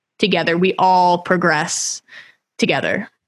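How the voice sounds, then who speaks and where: The speaker has a normal speaking voice with an American accent. The pace is moderate. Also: woman. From Houston, Texas. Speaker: podcast host. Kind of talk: interview.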